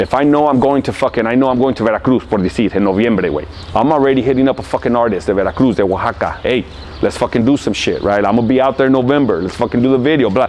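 A man speaks very fast in an American accent. His pitch varies in an ordinary way. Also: medium pitch for a man, very even loudness. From Los Angeles, California. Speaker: rapper. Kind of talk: interview answer. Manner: casual, profane, animated. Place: street.

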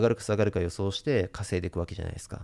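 The speaker is a man with a fairly low pitch. His tone sounds dark and mellow. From Japan. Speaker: investment YouTuber. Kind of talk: monologue to camera; casual explanatory talk to camera. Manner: many filler sounds. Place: home room. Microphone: studio mic.

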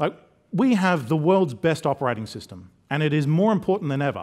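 Speaking at a fairly quick pace, a man with a fairly high voice uses lively intonation against a quiet background. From Queensland, Australia. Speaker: technology specialist; conference presenter. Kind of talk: conference talk. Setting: stage with audience. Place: hall.

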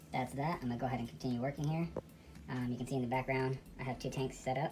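A dark, mellow tone amid noticeable background noise. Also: woman. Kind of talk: casual vlog chat. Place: home room. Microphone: phone near.

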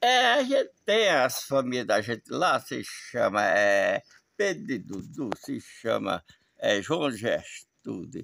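A man's voice, dry, with no echo. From Pernambuco, Brazil. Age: 70s. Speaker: interviewee. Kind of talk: casual on-location interview. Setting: outdoors on a farm. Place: open country. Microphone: phone near.

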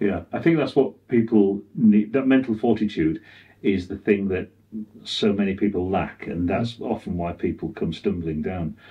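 A man speaks at a moderate pace in a fairly low, somewhat breathy voice. His pitch varies in an ordinary way. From UK. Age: 60s. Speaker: cinematographer; interview guest. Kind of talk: interview. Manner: halting. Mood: reflective, candid. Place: home room.

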